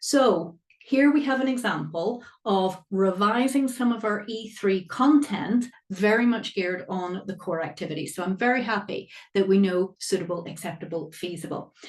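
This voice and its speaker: Using lively intonation, a woman with a Northern Irish accent talks at a medium pitch and a moderate pace. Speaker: accountancy exam tutor. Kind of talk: live online workshop lecture. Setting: live webinar. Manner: animated.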